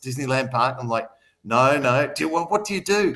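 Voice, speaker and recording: A man with an Australian accent, lively intonation and a very fast pace. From Australia, Melbourne outer suburbs (Mulgrave). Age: 50s. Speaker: city councillor and business owner. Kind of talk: live radio interview. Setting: radio studio.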